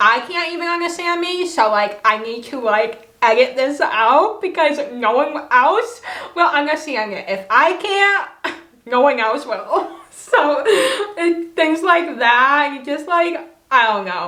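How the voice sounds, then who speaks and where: A woman's raised, projected voice, high in pitch with very wide pitch swings, at a very slow pace amid audible room echo. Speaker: vlogger. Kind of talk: casual vlog talk. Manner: loud when not understood.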